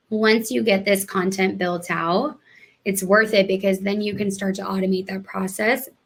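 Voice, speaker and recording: Here a woman uses a plain, everyday voice at medium pitch. Her intonation is fairly even and her pace fairly slow. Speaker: webinar presenter. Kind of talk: live webinar tutorial. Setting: live online webinar.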